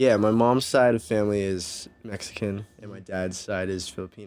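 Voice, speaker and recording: Here a man talks at a moderate pace with fairly low pitch and fairly even intonation, while his loudness swings widely. The recording is very clean, with a silent background. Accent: Californian. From Southern California, Orange County. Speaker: musician. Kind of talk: casual chat.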